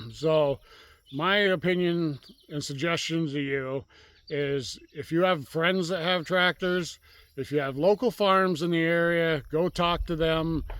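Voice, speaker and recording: A man in a relaxed tone at a fairly slow pace, with fairly even intonation, on a very clean recording with a silent background. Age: 60s. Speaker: rural channel host, tractor owner. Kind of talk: casual outdoor vlog talk. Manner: relaxed, conversational with fillers.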